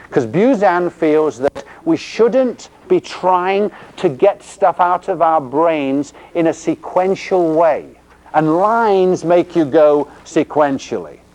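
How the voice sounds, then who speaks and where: A man with a high pitch speaks in an English accent. His pace is very slow, with ordinary pitch variation. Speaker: physical therapy instructor. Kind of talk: lecture.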